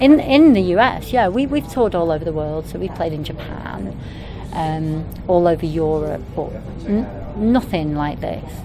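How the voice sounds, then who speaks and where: Amid noticeable background noise, a woman with a Mancunian accent talks at a moderate pace in a fairly low pitch, her pitch swinging very widely. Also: big swings in loudness. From Manchester, England. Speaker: punk band rapper. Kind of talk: interview. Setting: at a music festival.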